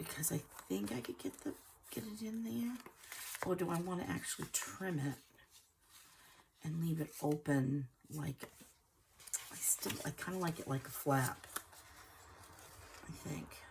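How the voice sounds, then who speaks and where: Speaking at a fairly slow pace with long, frequent pauses, a woman uses a very deep, low voice with very wide pitch swings over noticeable background noise. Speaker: junk journal crafter. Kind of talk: casual craft talk to camera. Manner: hesitant, thinking aloud.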